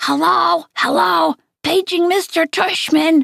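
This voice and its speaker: Someone does a put-on character voice, pitched high and delivered at a very slow pace. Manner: mock-playful.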